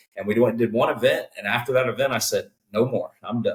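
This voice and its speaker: A man talks in a Texan accent. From Texas, Conroe near Houston. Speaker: cook-off organization co-founder. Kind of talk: casual interview.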